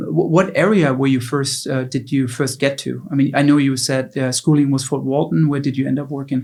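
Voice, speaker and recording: A man with a German accent, fairly high pitch and fairly even intonation, at a moderate pace. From Germany. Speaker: podcast host. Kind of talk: interview.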